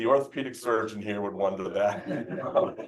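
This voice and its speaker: A man is speaking. Room echo is audible around his voice. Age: 60s. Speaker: event host. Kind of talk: speaker introduction.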